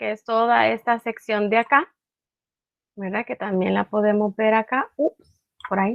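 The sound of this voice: A woman at a moderate pace, fairly high-pitched with vocal fry and fairly even intonation, in a dry, close sound with no echo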